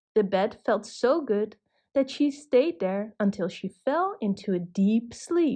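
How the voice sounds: The background is hushed. A natural reading voice carries lively intonation.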